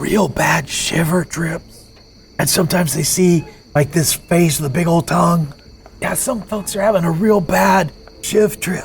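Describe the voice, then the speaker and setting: Quiet and raspy, a put-on character voice at a middle pitch moves at a moderate pace with faint music in the background. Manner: lowered, hushed, conspiratorial.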